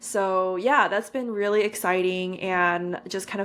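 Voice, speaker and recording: This woman has a medium pitch and a Californian accent. She speaks at a moderate pace with fairly even intonation. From California, San Francisco Bay Area. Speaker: podcaster and content creator. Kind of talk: podcast interview.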